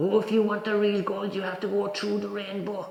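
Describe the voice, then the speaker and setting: In a clear echo, a man puts on a high-pitched character voice at a fairly quick pace. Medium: solo performance.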